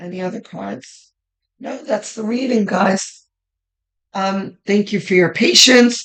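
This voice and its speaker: Speaking at a very slow pace with long, frequent pauses, a woman uses a medium pitch and ordinary pitch variation. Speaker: tarot reader. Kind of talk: tarot reading monologue. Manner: casual, with many fillers.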